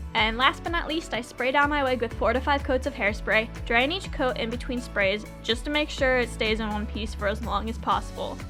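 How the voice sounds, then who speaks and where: A woman speaks fairly quickly while music plays behind her. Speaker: cosplay wig stylist. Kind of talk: tutorial narration.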